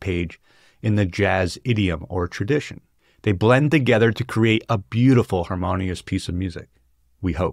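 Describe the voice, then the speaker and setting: The man speaks at a moderate pace, fairly low in pitch with ordinary pitch variation. The sound is dry with no echo over a quiet background. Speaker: book discussion host. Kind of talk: lecture. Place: home room. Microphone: studio mic.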